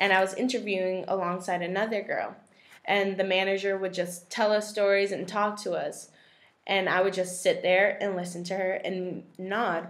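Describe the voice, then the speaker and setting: With audible room echo, a woman speaks at a medium pitch and moderate pace in a monotone, flat intonation. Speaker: college student. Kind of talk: class presentation.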